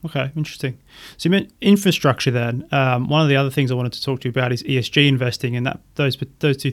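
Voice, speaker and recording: Over a very clean recording with a silent background, a man with an Australian accent talks at a very fast pace, his medium pitch held in fairly even intonation. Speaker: podcast host and financial planner. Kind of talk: casual interview about investing.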